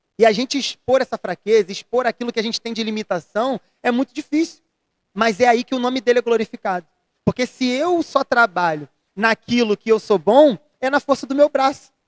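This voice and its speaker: In a dry, close recording with no echo, a man with an extremely high pitch speaks at a fairly quick pace. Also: ordinary pitch variation. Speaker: pastor. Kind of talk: interview about faith. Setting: church retreat, after the service. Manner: fast.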